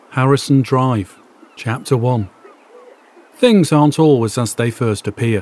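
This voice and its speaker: Noticeable background noise fills the long, frequent pauses in a man's speech. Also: medium pitch for a man, ordinary pitch variation, fairly slow pace. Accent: northwest English. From northern England, Warrington. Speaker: podcaster. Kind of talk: scripted narration; reading aloud.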